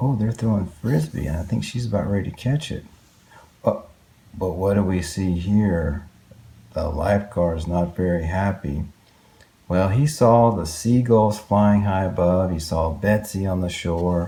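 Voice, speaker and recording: Speaking at a fairly slow pace, a man has a very deep, low voice with a dark, mellow tone, somewhat breathy, with ordinary pitch variation. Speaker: dad reading children's books aloud. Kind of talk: children's book read aloud. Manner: warm, expressive, engaging.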